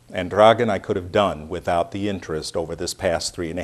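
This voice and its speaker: Speaking fairly quickly, a man with an American accent has a very deep, low pitch. His pitch varies in an ordinary way. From United States. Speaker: speaker at a community reception. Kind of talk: speech.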